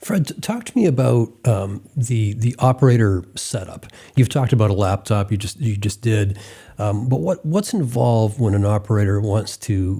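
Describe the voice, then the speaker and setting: At a moderate pace, a somewhat breathy voice with a dark, mellow tone and ordinary pitch variation comes through in a very clean recording with a silent background. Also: man. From Maine, Presque Isle. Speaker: podcast host. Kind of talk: interview.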